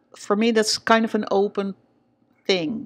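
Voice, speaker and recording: A woman speaks with a Dutch accent at a medium pitch. The recording is very clean, with a silent background. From Netherlands. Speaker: vlogger. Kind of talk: personal vlog. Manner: hesitant, many fillers.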